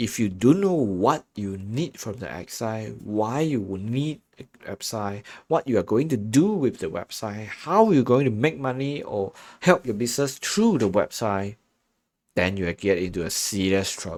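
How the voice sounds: Lively in intonation, a man speaks at a moderate pace. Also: fairly low pitch for a man, slightly mellow tone.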